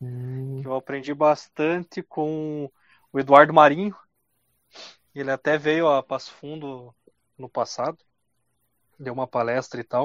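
A man's fairly high-pitched voice at a fairly slow pace, with fairly even intonation, big swings in loudness, and long, frequent pauses. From southern Brazil, Rio Grande do Sul (Carazinho). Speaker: podcast host. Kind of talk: casual chat.

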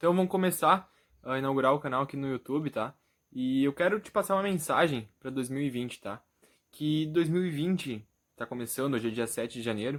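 A man with an ordinary speaking voice talks at a moderate pace in a fairly high pitch with ordinary pitch variation, on a very clean recording with a silent background. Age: 20s. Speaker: youtuber and motivational content creator. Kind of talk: motivational vlog address to camera.

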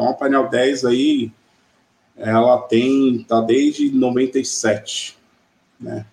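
In an unremarkable speaking voice, a man speaks at a medium pitch, his pitch varying in an ordinary way. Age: 40s. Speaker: e-commerce executive. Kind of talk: interview. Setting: live video stream.

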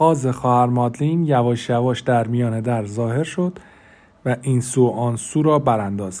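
Someone reads aloud in a natural voice, and the pitch moves in an ordinary way.

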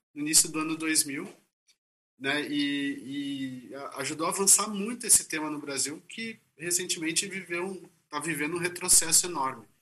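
Using ordinary pitch variation, a man talks at a moderate pace with a fairly high pitch. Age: 40s. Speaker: author and moderator. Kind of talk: panel conversation. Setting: video call from office. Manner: halting.

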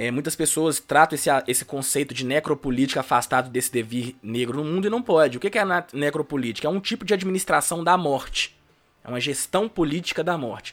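This man has a fairly high pitch and a normal speaking voice. He talks at a fairly quick pace with lively intonation. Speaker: law academic. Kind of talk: interview on race and law.

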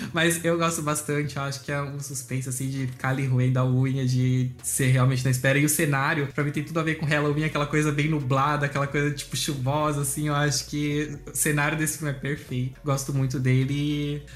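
Flat, monotone delivery from a man with a fairly high pitch. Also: hardly any pauses. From Brazil, Santa Catarina (Blumenau). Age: 20s. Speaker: meme page creator, guest. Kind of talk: casual chat.

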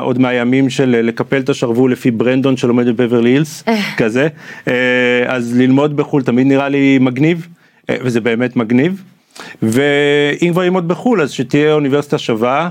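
Medium in pitch, a man has a plain, everyday voice. He keeps a moderate pace, fairly even intonation and very even loudness. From Israel. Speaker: product manager. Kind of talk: interview conversation. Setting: studio.

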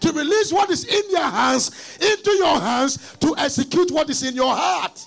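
Background noise is noticeable. Against it, the intonation sounds lively. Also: man. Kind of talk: sermon. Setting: church conference with live audience. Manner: loud, rhythmic, call-and-response, urging the crowd to shout; fiery, rising and falling, rhyming punchlines, prophetic.

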